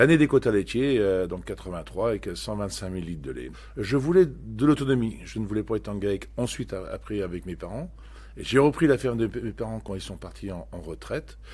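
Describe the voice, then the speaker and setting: A man speaks at a fairly quick pace with big swings in loudness. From Normandy, France (Cotentin, Manche). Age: 60s. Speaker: dairy farmer and farm union leader. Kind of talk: podcast testimony. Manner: hesitant, many fillers and repetitions.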